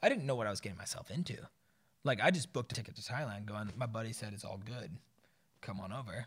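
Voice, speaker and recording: With an American accent and a medium pitch, a man talks very fast in an animated, somewhat breathy voice, his pitch varying in an ordinary way. Long, frequent pauses break it up, and his loudness swings a lot. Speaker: expat guest, bartender and father. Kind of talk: casual chat.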